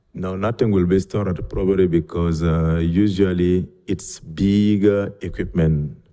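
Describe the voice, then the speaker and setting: At a moderate pace and with hardly any pauses, a man with a non-native accent speaks in a very deep, low pitch. His tone is dark and mellow, and his intonation fairly even. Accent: foreign. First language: not English. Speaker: permit applicant, equipment repair business owner. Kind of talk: public hearing testimony. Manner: halting.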